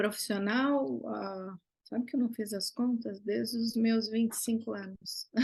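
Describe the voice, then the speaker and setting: Somewhat breathy, the woman's voice rides at a fairly high pitch. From Brazil, São Paulo state. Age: 60s. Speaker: visual artist. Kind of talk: interview conversation.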